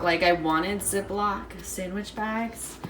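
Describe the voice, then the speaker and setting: Audible echo fills the room and noticeable noise runs underneath as the words come out fairly slowly. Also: woman. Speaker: lifestyle vlogger. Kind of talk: casual vlog talk.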